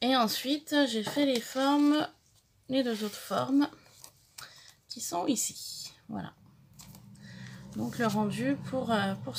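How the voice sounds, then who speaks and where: A woman's very slow speech with lively intonation and long, frequent pauses, over noticeable background noise. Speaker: craft youtuber. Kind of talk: tutorial. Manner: halting, many fillers.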